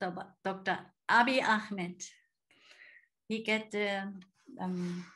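Speaking in a German accent, a woman has a bright, sharp tone against a quiet background. She goes at a very slow pace with long, frequent pauses. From Germany. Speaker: missionary. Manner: halting. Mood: warm, smiling. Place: home room. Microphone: video call.

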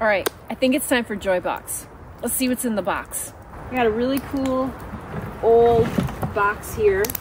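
A woman's fairly high voice at a moderate pace, fairly even in intonation, with long, frequent pauses and noticeable background noise. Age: 50s. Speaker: outdoor vlogger. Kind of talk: casual vlog monologue. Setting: outdoors at a campfire.

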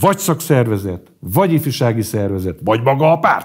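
A man talks at a fairly quick clip with vocal fry against a quiet background. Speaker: pro-government media editor; interview guest. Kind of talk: interview. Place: studio.

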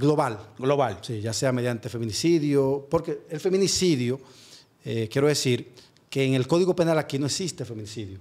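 This man speaks at a moderate pace and a medium pitch. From Dominican Republic, San Francisco de Macorís; Dominican Republic. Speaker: prosecutor; guest. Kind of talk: interview. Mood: calm, explanatory. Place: studio. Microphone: studio mic.

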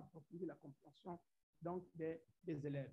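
Over a quiet background, a man with a Central African accent speaks in a high pitch with fairly even intonation. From Gabon. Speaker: science teacher. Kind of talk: conference presentation. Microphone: video call.

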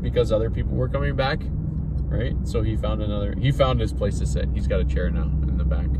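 A man talks at a fairly quick pace over loud background noise, the sound dry with no echo. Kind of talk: casual vlog chat. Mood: joking, storytelling. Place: car. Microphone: phone near.

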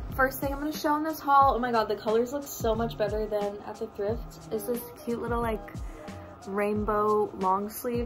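Over clear music in the background, a woman speaks at a moderate pace with ordinary pitch variation. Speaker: vlogger. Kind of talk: casual vlog chat. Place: home room. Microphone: phone near.

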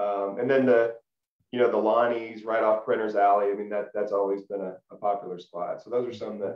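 A man with a Tennessee accent speaks at a fairly quick pace in a fairly low pitch, his intonation monotone and flat, with audible room echo over a quiet background. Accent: Southern US (Tennessee). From Middle Tennessee (Lebanon). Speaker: former college football player; interview guest. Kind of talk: casual interview. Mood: relaxed, friendly reminiscing. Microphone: video call.

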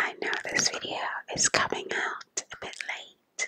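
Whispering, a woman goes at a very slow pace. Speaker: ASMR creator. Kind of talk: ASMR whisper video. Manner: whispered. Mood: calm, warm. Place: home room. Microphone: studio mic.

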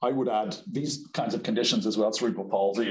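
A man's very fast delivery, with audible room echo over a quiet background. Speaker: presenter. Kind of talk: lecture. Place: office. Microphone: webcam.

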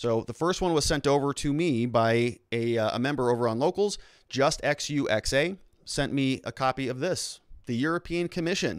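With an American accent, a man speaks at a medium pitch with ordinary pitch variation. The background is quiet and the sound is dry with no echo. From United States. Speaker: lawyer and livestream host; lawyer, livestream host. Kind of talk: live-streamed commentary and lecture. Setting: live stream. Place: studio. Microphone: studio mic.

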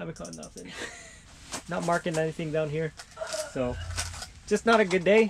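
A man talks fairly quickly, and noticeable background noise is present. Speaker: fishing vlogger. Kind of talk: casual vlog chat. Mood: cheerful despite no catch. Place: tent. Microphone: phone near.

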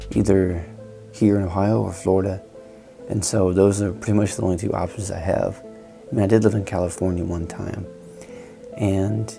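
With clear music behind him, a man speaks at a moderate pace in a fairly low pitch, his intonation fairly even and broken by long, frequent pauses. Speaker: artist vlogger. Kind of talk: casual vlog chat. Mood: reflective, thoughtful. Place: home room.

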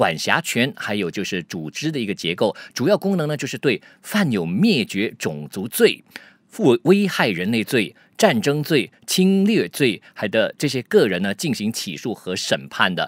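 The speaker uses vocal fry and very wide pitch swings at a fairly slow pace, in a dry sound with no echo against a quiet background. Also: man. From Malaysia. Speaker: news commentator. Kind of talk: news commentary. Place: studio. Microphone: studio mic.

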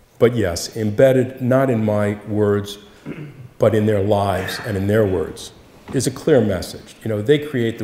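With light background noise and audible room echo, a man talks at a fairly slow pace in a fairly low pitch with ordinary pitch variation. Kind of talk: Q&A answer at a public talk. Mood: warm, earnest, reflective. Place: church.

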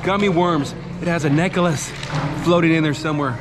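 Over music in the background, a man talks at a fairly quick pace with ordinary pitch variation. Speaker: food vlogger. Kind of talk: casual vlog chat. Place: bar. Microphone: phone near.

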